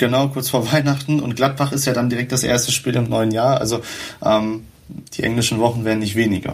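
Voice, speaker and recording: A man with a medium pitch talks at a fairly quick pace, his intonation monotone and flat. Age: 20s. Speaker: football club writer. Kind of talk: casual football chat. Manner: many fillers, hesitant.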